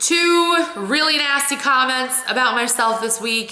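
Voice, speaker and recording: A woman with an American accent speaks in a raised, projected voice at high pitch, with ordinary pitch variation and a fairly slow pace. Noticeable background noise and audible room echo surround her. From Ohio. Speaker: vlogger. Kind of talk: casual vlog talk. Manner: expressive.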